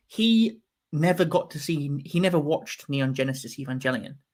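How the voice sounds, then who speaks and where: A somewhat breathy man with a Yorkshire accent speaks with lively intonation at a fairly high pitch. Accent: Yorkshire accent, noticeable. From northern England, Yorkshire. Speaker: film fan livestream host. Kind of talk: casual chat. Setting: livestream.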